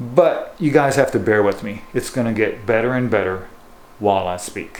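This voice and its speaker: Noticeable background noise and audible room echo are both present in the clip. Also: man, medium pitch for a man, ordinary pitch variation, moderate pace. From Japan and US; born in Japan, schooled in the US through high school. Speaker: bass fishing guide and lure maker. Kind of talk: casual vlog talk to camera. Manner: hesitant, many fillers like you know.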